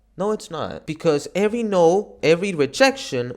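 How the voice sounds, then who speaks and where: Here is a man with a Spanish accent. His intonation is lively. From Argentina. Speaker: gaming YouTuber. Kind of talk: motivational talk to camera. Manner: casual, halting with false starts.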